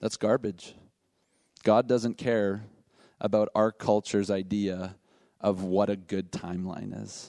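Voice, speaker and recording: A man with a dark, mellow tone speaks at a fairly slow pace in a monotone, flat intonation, leaving long, frequent pauses, the sound dry and close with no echo over a quiet background. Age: 50s. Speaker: pastor. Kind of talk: sermon.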